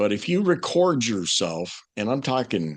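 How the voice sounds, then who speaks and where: Against a quiet background, a man with a medium pitch and vocal fry speaks with very wide pitch swings. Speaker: former morning radio host, marketing coach and voice coach. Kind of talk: podcast interview answer, conversational coaching advice.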